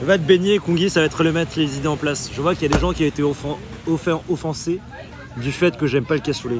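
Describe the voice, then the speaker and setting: Very rapid speech from a man with a fairly high voice, its pitch varying in a normal way, over noticeable background noise. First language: not French (speaking French). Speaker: live streamer. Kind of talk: casual live stream chat. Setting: in a bar. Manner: animated.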